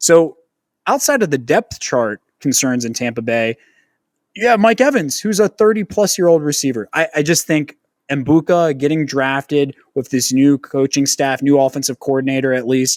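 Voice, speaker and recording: A plain, everyday voice with lively intonation moves at a moderate pace. The sound is dry and close with no echo, on a very clean recording with a silent background. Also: man, fairly high pitch for a man. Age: 30s. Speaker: fantasy football podcast host. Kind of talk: casual podcast discussion.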